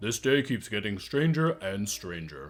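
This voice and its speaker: A put-on character voice from a man, fairly low in pitch, with very wide pitch swings at a moderate pace. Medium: actual play. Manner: earnest, formal.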